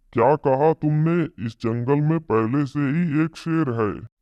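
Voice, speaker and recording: Putting on a cartoonish character voice, a man talks at a fairly slow pace with a fairly high pitch. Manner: boastful, domineering.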